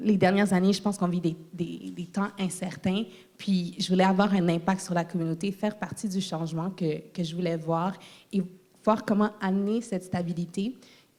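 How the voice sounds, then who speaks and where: A woman speaks at a medium pitch and a moderate pace. Her tone is dark and mellow, her intonation monotone and flat. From Quebec, Terrebonne area. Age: young. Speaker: political candidate. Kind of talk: political debate. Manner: halting.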